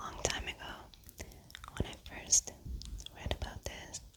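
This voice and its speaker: A woman whispers at a very slow pace. There is noticeable background noise. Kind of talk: whispered ASMR fun-facts reading for sleep. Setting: studio mic. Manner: soft, whispered.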